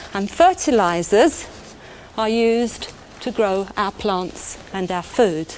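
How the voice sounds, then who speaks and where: A woman's warm-toned voice in a British accent, very slow in pace, with ordinary pitch variation and light background noise. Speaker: chemistry presenter. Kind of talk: 1980s educational film narration. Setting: studio demonstration. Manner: warm, clear, measured teacher's delivery; simple, conversational explaining, direct address to 'you'. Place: studio.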